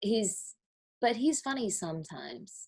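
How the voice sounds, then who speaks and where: A woman talks very slowly in a somewhat breathy voice, her pitch swinging very widely. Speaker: reality TV personality. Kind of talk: casual chat.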